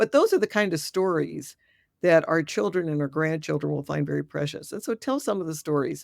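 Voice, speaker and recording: A woman at a fairly quick pace on a very clean recording with a silent background. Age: 60s. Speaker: death doula and retired dentist. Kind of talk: interview.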